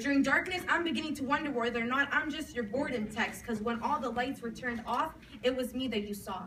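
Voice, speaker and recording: A woman speaks in a high voice. Noticeable background noise runs under the recording. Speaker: slam poet. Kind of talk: slam poetry performance. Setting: live coffee house event. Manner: emotional, intense.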